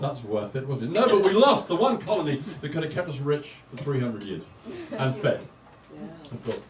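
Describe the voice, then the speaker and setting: A man with an English accent, fairly high-pitched for a man, amid noticeable background noise and audible room echo. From England. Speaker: stand-up comedian. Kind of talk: stand-up. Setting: stage with audience. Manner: halting.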